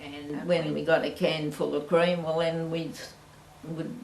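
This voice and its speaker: A woman speaks at a fairly low pitch and fairly slow pace in a flat monotone. Noticeable background noise and audible room echo are present. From Australia, French Island, Victoria. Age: 80s+. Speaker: family elder. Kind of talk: oral history interview.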